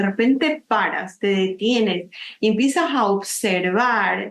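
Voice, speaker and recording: With ordinary pitch variation, the speaker uses a normal speaking voice at a fairly slow pace. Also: woman. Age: 60s. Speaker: nature photographer and author. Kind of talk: interview.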